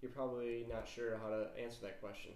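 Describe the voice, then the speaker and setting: A man is speaking. The room around him gives an audible echo. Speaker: chemistry teacher. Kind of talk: lecture. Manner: casual, many filler words.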